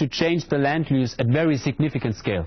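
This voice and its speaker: Speaking at a fairly quick pace with lively intonation, a man with a non-native accent has a medium-pitched, somewhat breathy voice. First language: not English. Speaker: hydrology lecturer. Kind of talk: lecture Q&A. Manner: hesitant, repeats words.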